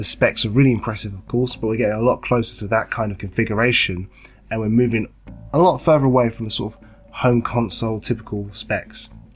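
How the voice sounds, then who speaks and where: Over music in the background, a man talks at a very fast pace and a medium pitch, keeping his intonation fairly even. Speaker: gaming YouTuber. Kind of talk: casual talk to camera.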